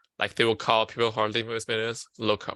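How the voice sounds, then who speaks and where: A man with a Chinese accent, medium pitch and a bright, sharp tone, the sound dry and close with no echo on a very clean recording with a silent background. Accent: Mandarin Chinese. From China (Beijing). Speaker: student peer counselor presenting on mental health. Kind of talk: lecture. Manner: halting.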